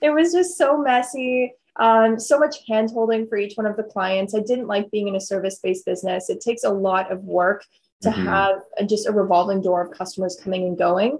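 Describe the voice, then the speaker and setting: This woman talks at a fairly quick pace with medium pitch and ordinary pitch variation. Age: 20s. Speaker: skincare entrepreneur. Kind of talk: interview.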